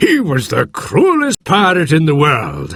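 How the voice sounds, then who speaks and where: A man uses a put-on character voice at a fairly slow pace, with a dry, close sound and no echo. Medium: read story. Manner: hearty, enthusiastic.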